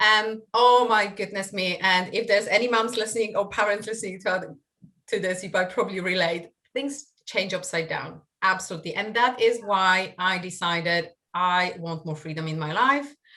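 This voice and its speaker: A woman with a Polish accent speaks at medium pitch with a bright, sharp tone. Her pace is moderate and her pitch varies in an ordinary way. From Poland. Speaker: online marketing coach. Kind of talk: podcast interview. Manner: hesitant with fillers.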